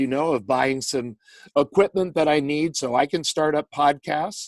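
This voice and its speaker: A man speaks in a normal speaking voice, fairly high-pitched, at a fairly slow pace. His intonation is fairly even, and the sound is dry and close with no echo. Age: 60s. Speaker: sports announcer. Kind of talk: interview answer. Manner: conversational, reflective.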